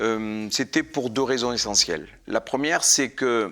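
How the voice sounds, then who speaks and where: On a very clean recording with a silent background, a man with a medium pitch and a bright, sharp tone speaks at a very slow pace. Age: 50s. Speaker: life coach. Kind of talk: interview testimony.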